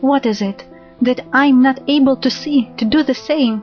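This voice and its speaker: Music plays in the background as the speaker talks with ordinary pitch variation. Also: woman. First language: not English. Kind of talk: love poetry reading.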